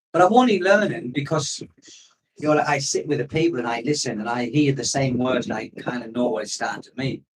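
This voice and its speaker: With a northeast English accent, a man speaks at a fairly quick pace and a fairly high pitch, his intonation lively and his loudness swinging widely. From northeast England. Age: 50s. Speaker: expat vlogger. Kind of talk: live stream chat. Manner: casual, rambling.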